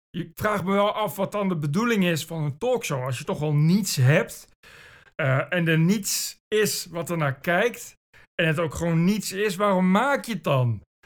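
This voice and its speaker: A man speaks at a fairly slow pace. His pitch is high and his intonation lively. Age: 40s. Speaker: podcast host. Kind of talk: solo monologue. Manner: animated.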